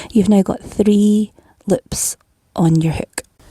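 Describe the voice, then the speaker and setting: In a Scottish accent, a woman speaks very slowly at a medium pitch, somewhat breathy, with a calm, dark, mellow tone, ordinary pitch variation, and a dry, close sound with no echo. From Scotland. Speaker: crochet tutor. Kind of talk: tutorial. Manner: calm, step-by-step instructions.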